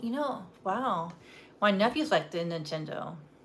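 A woman speaks at a fairly slow pace, somewhat breathy. Light background noise can be heard. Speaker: YouTuber doing a live stream. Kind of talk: casual live-stream chat while cooking. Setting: home kitchen, live stream. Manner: rambling, giggly. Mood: relaxed, a little bummed. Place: home room. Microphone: phone near.

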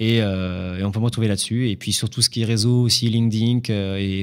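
A man with a medium-pitched voice delivers his words fairly quickly and with fairly even intonation, the background quiet. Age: 20s. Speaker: drywall installer and painter. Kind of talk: interview. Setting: studio. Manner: hesitant, many fillers. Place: studio. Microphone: studio mic.

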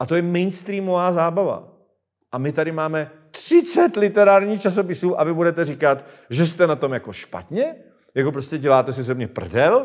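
Against a quiet background, a man talks at a moderate pace in a high pitch with lively intonation. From Czech Republic. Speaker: show host asking questions. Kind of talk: casual political interview. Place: studio.

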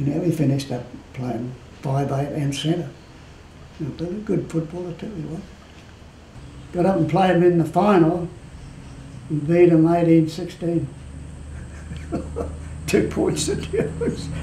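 Amid light background noise and audible room echo, a man with a fairly high pitch speaks with long, frequent pauses. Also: fairly even intonation, moderate pace. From Australia, Cairns, Queensland. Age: 80s+. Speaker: retired rugby league player and referee. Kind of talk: interview answer, reminiscing. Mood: warm, amused reminiscing.

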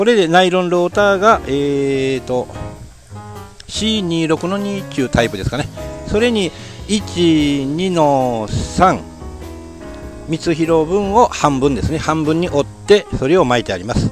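Over faint background music, a man talks at a very slow pace with long, frequent pauses, the sound dry with no echo. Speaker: farmer reviewing tools. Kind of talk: casual vlog chat.

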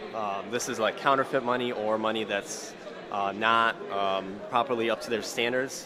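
Noticeable background noise sits behind a man speaking at a moderate pace with fairly even intonation. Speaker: vlogger. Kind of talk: casual vlog chat. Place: hall. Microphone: phone near.

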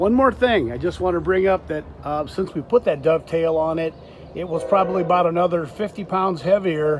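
A man talks at a high pitch with ordinary pitch variation. Noticeable background noise runs under his voice. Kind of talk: casual DIY walkthrough commentary. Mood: relaxed, friendly. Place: street. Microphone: phone near.

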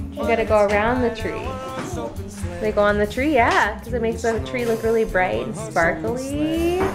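Someone speaks at a moderate pace while music plays in the background. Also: woman. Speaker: parent vlogger. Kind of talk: casual vlog chat. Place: home room. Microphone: phone near.

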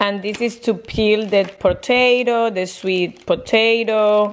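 A woman at a very slow pace, her intonation fairly even. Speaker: mother vlogger. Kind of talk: casual vlog chat. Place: home room. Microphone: phone near.

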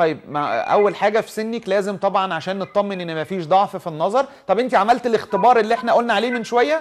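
A man's high voice at a very fast pace, with lively intonation and hardly any pauses. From Egypt. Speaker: eye surgeon hosting a TV health show. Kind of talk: TV health talk show with phone-in callers. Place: studio. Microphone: lapel.

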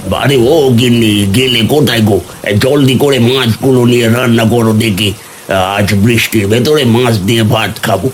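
Using a cartoonish character voice, a man talks at a moderate pace and a medium pitch over clear background noise. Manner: brash, loud.

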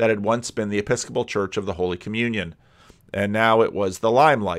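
A man's fairly low voice with fairly even intonation, over a quiet background. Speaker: commentator. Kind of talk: commentary. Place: home room. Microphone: studio mic.

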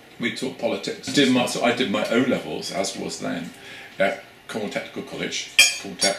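Against noticeable background noise, a man talks at a very fast pace. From Cornwall, England. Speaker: academic researcher. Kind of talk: interview conversation. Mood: reflective, warm. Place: home room. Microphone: camera far.

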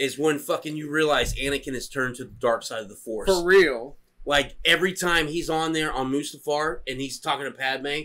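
Talking at a fairly quick pace with hardly any pauses, a man uses ordinary pitch variation. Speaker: podcast co-host. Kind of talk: casual drinking banter. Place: garden. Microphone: camera far.

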